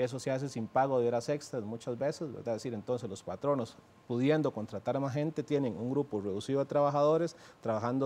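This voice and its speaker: Dark and mellow in tone, this man's voice moves along at a fairly quick pace. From Costa Rica. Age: 30s. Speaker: presidential candidate; candidate. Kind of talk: TV interview. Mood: earnest, argumentative. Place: studio.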